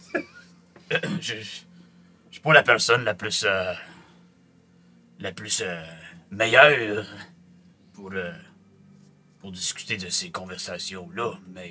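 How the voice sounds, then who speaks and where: A man's put-on character voice, fairly low in pitch, at a fairly slow pace with long, frequent pauses. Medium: actual play. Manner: halting, hesitant, many fillers.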